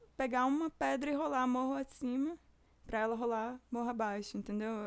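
In a very clean recording with a silent background, a woman speaks at a moderate pace. Her voice is high, with ordinary pitch variation. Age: 20s. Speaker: podcast host and music student. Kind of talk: personal monologue.

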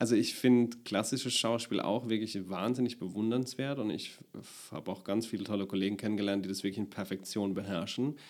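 In a very clean recording with a silent background, a man speaks at a fairly quick pace with fairly low pitch and fairly even intonation. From Palatinate, Deidesheim. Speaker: actor and comedian. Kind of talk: casual interview.

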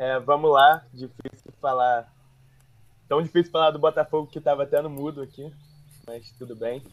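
A man with a fairly high pitch talks at a moderate pace, taking long, frequent pauses. His intonation stays fairly even while his loudness swings widely. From Rio de Janeiro. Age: 20s. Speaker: football podcast co-host, Botafogo fan. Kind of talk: casual football chat. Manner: halting.

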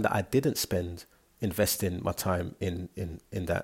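A man with a fairly low pitch and a somewhat breathy voice is heard on a very clean recording with a silent background. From London. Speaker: solo podcaster. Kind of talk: personal monologue. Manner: hesitant, filler-heavy.

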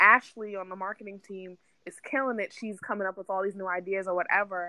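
A woman with an unremarkable speaking voice and an American accent talks at medium pitch with fairly even intonation. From New York City. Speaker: marketing manager. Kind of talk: interview.

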